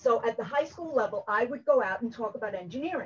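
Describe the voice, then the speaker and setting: A woman with a strong New York accent talks at a very fast pace with ordinary pitch variation. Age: 60s. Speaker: engineering educator. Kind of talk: conference workshop talk. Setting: video call from home.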